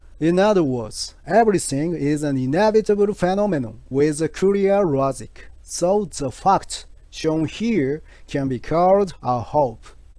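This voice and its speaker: A man with a Japanese accent speaks in a high-pitched yet dark, mellow voice. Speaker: health channel creator. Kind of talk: scripted narration. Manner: careful, halting English.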